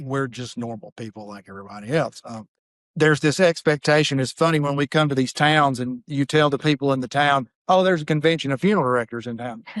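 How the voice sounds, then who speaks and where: This man speaks at a very fast pace with a Southern US accent. His pitch is fairly high, and the sound is dry and close with no echo. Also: ordinary pitch variation. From Mississippi. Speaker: funeral director. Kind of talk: podcast interview.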